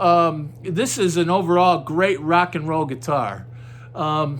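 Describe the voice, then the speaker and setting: Audible room echo surrounds a man whose fairly high-pitched voice moves at a fairly slow pace. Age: 60s. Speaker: guitar reviewer. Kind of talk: product review. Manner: halting; casual.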